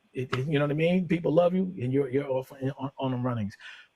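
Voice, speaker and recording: A very fast, somewhat breathy man's voice, fairly high and dark and mellow, with ordinary pitch variation and a dry, close sound with no echo. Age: 50s. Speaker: music label owner and radio DJ. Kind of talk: casual interview chat. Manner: halting, many fillers.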